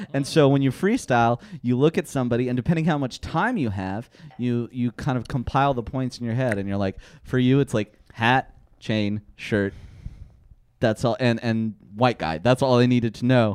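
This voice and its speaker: A man speaks at medium pitch and a moderate pace with ordinary pitch variation, in an unremarkable speaking voice. The sound is dry and close with no echo. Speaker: comedian and freestyle rapper. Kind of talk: casual chat.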